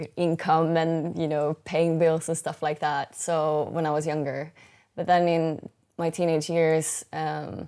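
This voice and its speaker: A woman with a Swedish accent, very deep and low in pitch, in monotone, flat intonation, on a very clean recording with a silent background. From Sweden. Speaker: singer-songwriter. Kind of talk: interview. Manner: halting.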